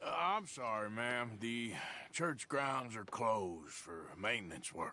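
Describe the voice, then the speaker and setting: A man uses a put-on character voice that is raspy and medium in pitch, at a fairly slow pace. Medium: video game.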